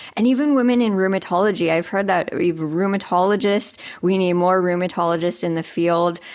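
A woman with an ordinary speaking voice, a fairly low pitch and ordinary pitch variation is heard in a very clean recording with a silent background. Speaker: nonprofit interviewer. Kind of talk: interview.

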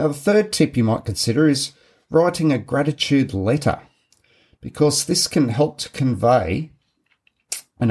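This man's voice is somewhat breathy, with an Australian accent. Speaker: podcast host, men's group facilitator. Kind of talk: solo podcast talk, partly scripted. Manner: measured, read-from-notes delivery.

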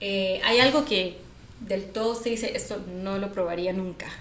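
A Costa Rican accent with long, frequent pauses, noticeable background noise and audible room echo. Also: woman. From Costa Rica, San José. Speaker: podcast co-host. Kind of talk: casual chat.

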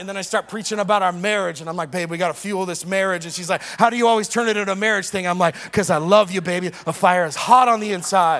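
Music plays in the background as a man talks at a very fast pace. His pitch is high. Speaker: preacher. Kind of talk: sermon. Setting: church. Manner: animated; call-and-response.

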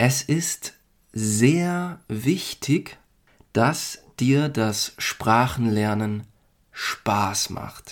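The talking proceeds at a very slow pace. The recording is very clean, with a silent background. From Germany. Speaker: language-learning podcast host. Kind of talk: language lesson for learners. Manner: slow and clear.

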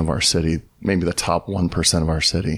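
This man has a very deep, low pitch and an American accent. He talks at a moderate pace with fairly even intonation. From Southern California. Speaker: pastor, church planter. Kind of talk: casual interview conversation.

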